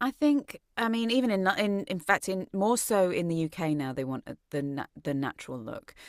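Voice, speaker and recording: With an English accent, a woman speaks at a moderate pace in a medium pitch, with very wide pitch swings and hardly any pauses. The recording is very clean, with a silent background. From England, Shrewsbury. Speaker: actress and voice actress. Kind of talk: interview.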